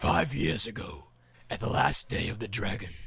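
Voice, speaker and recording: Putting on a character voice, a man booms in a raspy, fairly low register at a moderate pace. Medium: read story. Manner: dignified.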